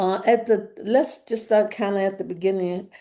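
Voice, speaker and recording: Against a quiet background, a woman speaks in a dark, mellow tone with vocal fry. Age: 80s+. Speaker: spiritual teacher sharing personal story. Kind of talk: personal storytelling monologue. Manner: halting, many fillers and restarts.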